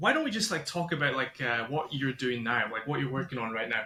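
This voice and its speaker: Music plays behind a man with a Scottish accent. His intonation is lively. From Scotland. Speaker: podcast host. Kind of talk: podcast interview. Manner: casual, halting.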